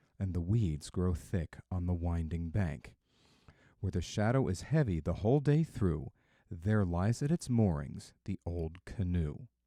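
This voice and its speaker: A man's very deep, low voice in a dark, mellow and calm, soothing tone, fairly slow with lively intonation, dry and close with no echo, in a very clean recording with a silent background. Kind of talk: poetry reading.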